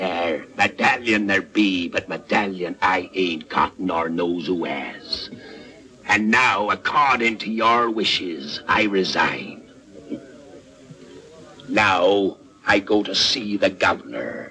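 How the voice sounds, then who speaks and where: Using a put-on character voice, a man speaks at a very slow pace in a fairly low pitch. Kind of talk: theatrical pirate swagger. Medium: short film. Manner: rolling, sardonic, growling.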